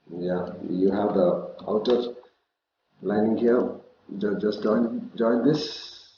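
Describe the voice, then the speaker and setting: Speaking very slowly, a man with a medium-pitched voice leaves long, frequent pauses and shows ordinary pitch variation. Room echo can be heard. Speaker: CAD instructor. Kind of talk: tutorial.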